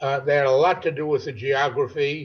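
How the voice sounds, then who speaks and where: A man's somewhat breathy voice at a moderate pace with ordinary pitch variation. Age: 80s+. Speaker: first-time novelist. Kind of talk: interview. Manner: halting.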